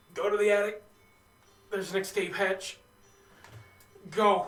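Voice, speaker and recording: In a put-on character voice, a man speaks high-pitched, strained and raspy, with monotone, flat intonation at a moderate pace. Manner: urgent.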